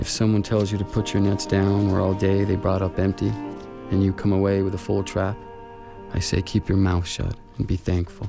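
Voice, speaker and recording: Music plays in the background as a man talks at a moderate pace. His pitch is fairly low. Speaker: narrator reading prose. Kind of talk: literary narration, poetry reading.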